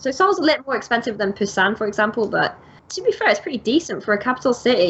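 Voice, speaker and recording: A woman at a very fast pace with lively intonation, over noticeable background noise. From Britain. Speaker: English teacher, podcast co-host. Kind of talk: casual chat. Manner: animated.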